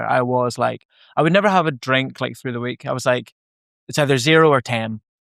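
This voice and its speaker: A man with a Northern Irish accent talks at a moderate pace in a medium-pitched voice with ordinary pitch variation. The sound is dry and close with no echo, on a very clean recording with a silent background. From Northern Ireland. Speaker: podcast host. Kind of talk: podcast conversation.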